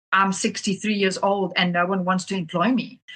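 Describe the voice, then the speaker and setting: The woman's intonation stays fairly even, and her tone comes across bright and sharp. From South Africa. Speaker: pet sitting business owner. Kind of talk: podcast interview. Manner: repeats words often.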